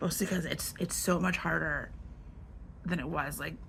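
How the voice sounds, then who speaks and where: A woman's voice is heard with audible room echo. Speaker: artist, YouTuber. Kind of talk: casual sketchbook tour talk. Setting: filming at home in bedroom. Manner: casual, hesitant with many fillers.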